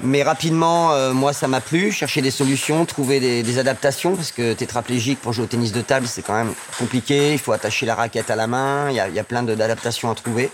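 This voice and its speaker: Pitch variation stays ordinary. Noticeable background noise runs underneath. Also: man, medium pitch for a man, fairly quick pace, hardly any pauses. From northern France (Amiens). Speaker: table tennis coach. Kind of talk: interview.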